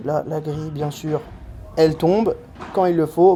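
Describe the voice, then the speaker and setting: Amid noticeable background noise, a man talks in an animated tone at a fairly high pitch. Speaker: amateur padel player and vlogger. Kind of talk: commentary over own match footage. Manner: fast; casual, animated.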